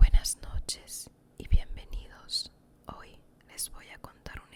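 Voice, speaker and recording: A woman whispers in a calm tone. There is noticeable background noise. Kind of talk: ASMR Bible story narration. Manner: relaxing, calm.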